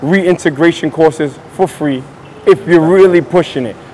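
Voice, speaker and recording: A man talks at a moderate pace, his voice high, with noticeable background noise around him. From Brooklyn, New York, partly raised in the Caribbean. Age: 40s. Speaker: traveler visiting Ghana. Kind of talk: interview. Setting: airport.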